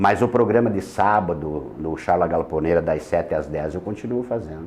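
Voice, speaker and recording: With a gaúcho accent, a man speaks with lively intonation at a very deep, low pitch. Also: moderate pace. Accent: gaúcho missioneiro. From Rio Grande do Sul, Missões region. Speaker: radio presenter. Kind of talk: interview. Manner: halting.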